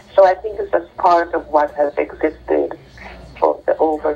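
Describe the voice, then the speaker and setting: The speech comes at a fairly slow pace. Noticeable background noise runs underneath. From Jamaica. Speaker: doctor, trauma expert. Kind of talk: interview.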